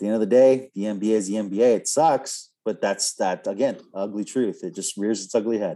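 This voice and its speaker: A man with a dark, mellow tone talks at a moderate pace with fairly even intonation and hardly any pauses. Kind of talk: casual podcast discussion.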